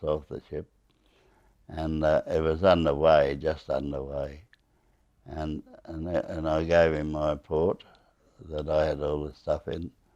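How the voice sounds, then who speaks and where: A man speaks in an Australian accent at a fairly slow pace. His very deep, low voice has a dark, mellow tone and monotone, flat intonation. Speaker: war veteran. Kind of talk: interview storytelling. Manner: halting, many fillers and repetitions.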